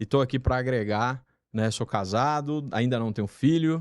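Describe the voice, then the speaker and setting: Speaking at a fairly slow pace with a Paraná accent, a man is heard in a very clean recording with a silent background and a dry, close sound with no echo. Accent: Paraná accent, rolled R. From Paraná, Brazil. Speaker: retail management specialist. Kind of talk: podcast interview.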